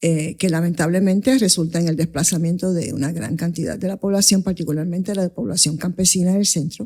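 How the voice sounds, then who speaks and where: Speaking at a fairly quick pace with hardly any pauses, a woman uses a fairly low pitch, ordinary pitch variation, and a dark, mellow tone. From Coamo, Puerto Rico and New York City (Bronx). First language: English (speaking Spanish). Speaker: investment advisor, firm founder. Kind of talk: interview conversation.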